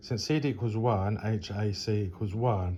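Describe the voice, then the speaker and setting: A man speaks at a moderate pace with a fairly low pitch and ordinary pitch variation. His tone is dark and mellow, and somewhat breathy. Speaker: engineering tutor. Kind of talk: tutorial. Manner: hesitant, many fillers.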